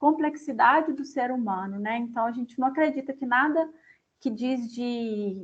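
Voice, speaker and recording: Speaking in a Minas Gerais accent, a woman talks at a fairly slow pace. Her pitch is high, with ordinary variation. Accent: Minas Gerais Brazilian. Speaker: company representative speaking to students. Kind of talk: lecture.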